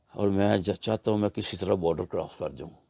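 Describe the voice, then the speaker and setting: A man speaks at a fairly low pitch with a dark, mellow tone. The sound is dry and close, with no echo. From Lahore, Pakistan. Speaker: oral history guest. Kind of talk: interview answer.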